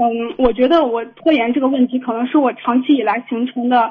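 At a fairly quick pace, a woman talks in a high pitch. Her pitch variation is ordinary. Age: 20s. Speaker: caller, recent graduate about to start grad school. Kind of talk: phone-in advice call. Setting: phone call.

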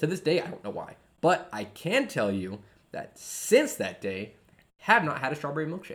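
A man talks at a moderate pace in a fairly high voice with vocal fry. His pitch swings very widely and his loudness shifts in big swings. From US military family, moved around (Georgia, Guam). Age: 20s. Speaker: podcast co-host, father. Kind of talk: casual chat over beers.

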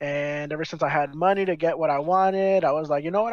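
The pace is very fast. The pitch varies in an ordinary way. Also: man. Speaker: podcast co-host. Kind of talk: casual chat.

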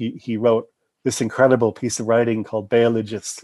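A man with an American accent, medium pitch and monotone, flat intonation, talking at a fairly quick pace against a quiet background. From US Midwest; Chicago. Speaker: anthropologist, professor. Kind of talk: interview conversation about academic work. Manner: casual, conversational.

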